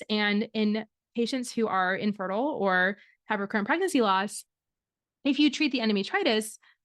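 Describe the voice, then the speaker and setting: In a slight Michigan accent, a woman speaks with a fairly high pitch, the sound dry and close with no echo against a quiet background. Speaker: fertility doctor and podcast host. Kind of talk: podcast monologue. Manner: casual, conversational with fillers.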